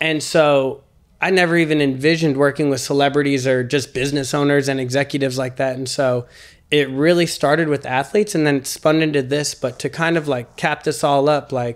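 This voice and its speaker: A man with a slight Mississippi accent speaks fairly quickly at a fairly high pitch, his intonation fairly even, on a very clean recording with a silent background. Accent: slight Mississippi Southern. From US South, Mississippi. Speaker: celebrity fitness trainer. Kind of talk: podcast interview. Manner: casual, filler-heavy.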